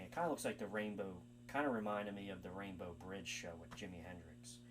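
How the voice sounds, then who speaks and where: Over music in the background and with audible room echo, a man speaks at a fairly quick pace in a fairly low pitch with very wide pitch swings. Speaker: music channel uploader. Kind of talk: video commentary. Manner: fast; hesitant, many fillers.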